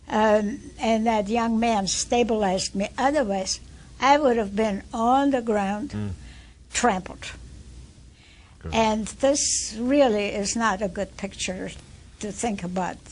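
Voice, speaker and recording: Speaking at a very slow pace with long, frequent pauses, a woman talks at a fairly high pitch. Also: ordinary pitch variation. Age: 80s+. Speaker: activist. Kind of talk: interview answer.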